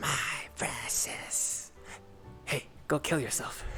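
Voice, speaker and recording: Clear music plays behind a man whispering in a put-on character voice with a menacing tone at a very slow pace. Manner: creepy, menacing whisper.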